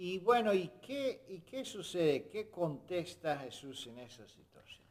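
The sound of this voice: A man's high voice with big pitch swings at a fairly slow pace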